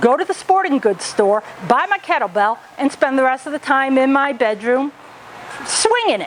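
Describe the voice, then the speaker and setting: A woman's high-pitched voice with very wide pitch swings at a moderate pace, over noticeable background noise. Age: 60s. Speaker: gym member. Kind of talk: testimony.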